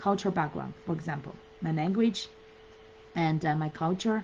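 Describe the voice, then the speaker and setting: Using lively intonation, a woman with a Chinese accent speaks at a moderate pace. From China. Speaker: business coach. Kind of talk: live webinar talk. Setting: Facebook live stream. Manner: halting, many fillers.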